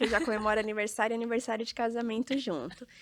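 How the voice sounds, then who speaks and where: A woman talks at a very fast pace in a fairly high voice, recorded with a dry, close sound and no echo. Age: 30s. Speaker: real estate entrepreneur and influencer. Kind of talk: podcast interview.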